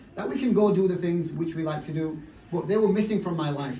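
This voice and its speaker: Amid audible room echo and noticeable background noise, a man with a Yorkshire accent speaks very fast in a high pitch with fairly even intonation. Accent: Bradford, Yorkshire. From northern England, Bradford. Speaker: network marketing business leader. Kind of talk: motivational talk.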